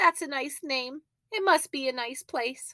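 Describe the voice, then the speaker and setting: A woman uses a squeaky put-on character voice, high in pitch with ordinary pitch variation. She speaks at a moderate pace, and the sound is dry and close with no echo. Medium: read story. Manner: earnest, anxious.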